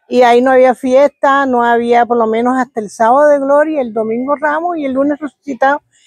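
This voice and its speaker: With hardly any pauses, a woman speaks at a fairly quick pace in a high pitch and fairly even intonation, the sound dry and close with no echo. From Caribbean Colombia, Córdoba (Montería area). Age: 70s. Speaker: village elder sharing oral history. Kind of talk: oral history interview. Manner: halting, with repetitions.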